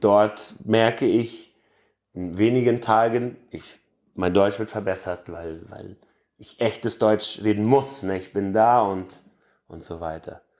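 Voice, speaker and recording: Over a very clean recording with a silent background, a man speaks very slowly at a fairly low pitch, with ordinary pitch variation, big swings in loudness and long, frequent pauses. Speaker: Mennonite colony resident. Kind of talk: interview. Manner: halting, with fillers.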